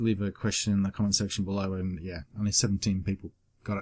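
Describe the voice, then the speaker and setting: A man with an Australian accent and a dark, mellow tone is heard in a very clean recording with a silent background and a dry, close sound with no echo. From Australia, Queensland. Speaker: YouTuber. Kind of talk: casual Q and A vlog. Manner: casual, hesitant with fillers.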